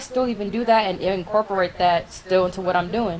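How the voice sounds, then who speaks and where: Noticeable background noise is present. A woman talks fairly quickly through it. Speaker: poet and content creator. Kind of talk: casual chat. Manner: monotone.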